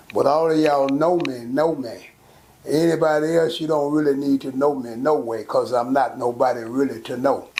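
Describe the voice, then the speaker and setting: A man's fairly high voice at a moderate pace with fairly even intonation, noticeable background noise and audible room echo. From Texas, Fort Worth. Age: 70s. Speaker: local elder. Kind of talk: interview.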